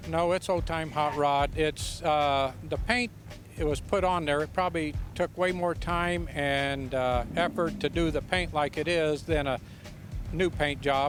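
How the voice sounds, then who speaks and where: A man speaks in a plain, everyday voice with a fairly high pitch. His pace is fairly slow, with fairly even intonation and very even loudness. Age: 60s. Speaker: hot rod owner. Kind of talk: casual interview.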